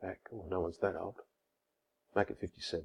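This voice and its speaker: With an Australian accent and vocal fry, the voice moves at a moderate pace in a dry, close sound with no echo. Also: man. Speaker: lawyer. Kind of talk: tutorial. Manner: casual, conversational.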